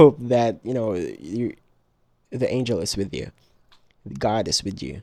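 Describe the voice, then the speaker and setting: A man with a non-native accent speaks in a dark, mellow tone with vocal fry and lively intonation. His loudness swings widely, and he takes long, frequent pauses. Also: medium pitch for a man. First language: not English. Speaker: digital artist. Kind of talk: casual voiceover narration of art process. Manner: hesitant, many filler ums; casual, repetitive phrasing.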